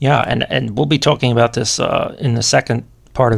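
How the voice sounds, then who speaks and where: Here is a man with an ordinary speaking voice at medium pitch. He talks at a fairly quick pace with ordinary pitch variation. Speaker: podcast host and Latin teacher. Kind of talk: interview.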